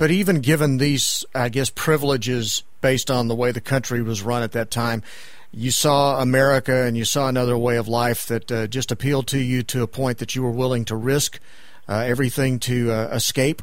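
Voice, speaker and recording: A man with a plain, everyday voice of medium pitch talks at a fairly quick pace with fairly even intonation. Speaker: radio host. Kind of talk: interview.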